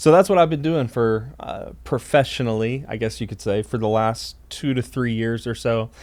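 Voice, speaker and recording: This man has a plain, everyday voice and an American accent, speaking at a moderate pace and medium pitch with ordinary pitch variation and hardly any pauses. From Texas, Dallas. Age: 20s. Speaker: podcast co-host, church staff pastor. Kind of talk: casual chat.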